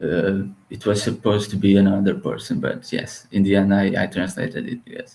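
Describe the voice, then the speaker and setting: With a Portuguese accent, a man talks at a fairly quick pace. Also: big swings in loudness. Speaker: author and translator. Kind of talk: podcast interview. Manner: halting, with many repetitions and fillers.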